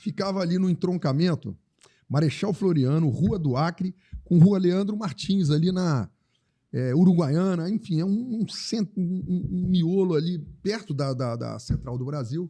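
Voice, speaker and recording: A man talks with a high pitch and a dark, mellow tone. His intonation is lively and his pace fairly slow. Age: 60s. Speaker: tourism entrepreneur. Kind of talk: interview conversation. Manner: halting, many repetitions.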